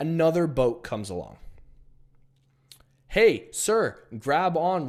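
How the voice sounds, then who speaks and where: A man at a very slow pace in a very clean recording with a silent background. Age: 20s. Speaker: online business coach. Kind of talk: motivational talk to camera. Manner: casual, blunt.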